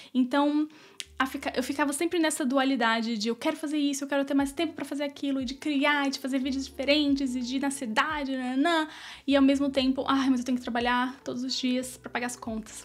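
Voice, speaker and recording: Talking at a very fast pace, a woman with a high pitch keeps a monotone, flat intonation. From Brazil. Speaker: YouTuber. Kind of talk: vlog monologue. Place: home room. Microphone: studio mic.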